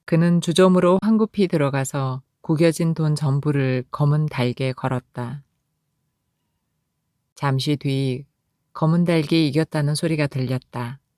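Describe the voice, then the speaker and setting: Very slowly, with long, frequent pauses, a woman speaks in a very deep, low pitch with a dark, mellow, calm tone. The sound is dry and close with no echo. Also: ordinary pitch variation. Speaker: audiobook narrator. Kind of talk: essay reading. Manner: calm, emotional.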